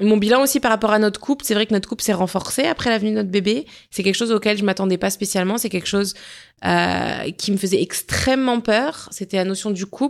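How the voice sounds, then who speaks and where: A woman talks at a very fast pace with a medium pitch and ordinary pitch variation. The recording is very clean, with a silent background. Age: 30s. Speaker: wellness podcast host. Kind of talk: solo personal reflection podcast. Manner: conversational.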